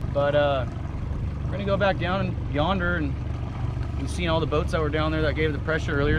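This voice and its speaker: A man's fairly quick speech has a dry sound with no echo, set against loud background noise. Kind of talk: casual interview answer. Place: boat.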